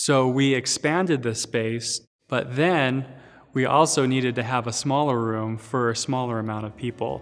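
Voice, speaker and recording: A man talks at a moderate pace, his intonation fairly even. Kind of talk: interview answer. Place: hall. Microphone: lapel.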